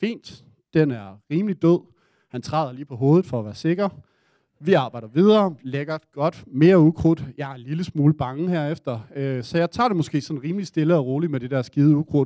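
An ordinary speaking voice from a man, fairly high in pitch, at a moderate pace with ordinary pitch variation. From Denmark. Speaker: audience member telling a story. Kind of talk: live storytelling. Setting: stage with audience.

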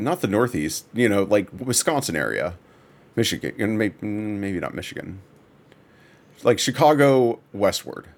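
A man with an American accent and fairly low pitch talks at a moderate pace, with lively intonation, big swings in loudness and long, frequent pauses. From Texas. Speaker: podcast host, game studio artist. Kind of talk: casual chat.

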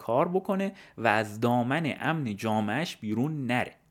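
A man talks at a moderate pace in an unremarkable speaking voice at medium pitch. His intonation is lively. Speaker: podcaster. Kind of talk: scripted narration.

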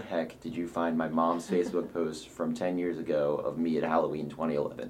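A man's voice with audible room echo. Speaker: college student. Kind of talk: interview.

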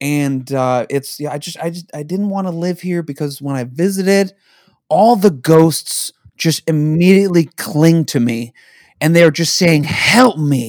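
A man with an American accent speaks in a normal speaking voice, fairly high in pitch, with ordinary pitch variation and big swings in loudness. His pace is fairly slow, and the recording is very clean with a silent background. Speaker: podcast host. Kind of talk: casual banter between friends.

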